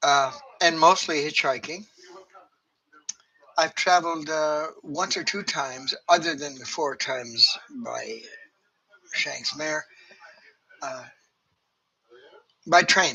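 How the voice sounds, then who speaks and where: In a Canadian accent, a man speaks at a very slow pace with long, frequent pauses, a fairly high pitch, ordinary pitch variation and big swings in loudness. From Canada. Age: 70s. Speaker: retiree telling personal stories. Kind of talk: casual monologue. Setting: at home, TV in the room. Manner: halting, many fillers.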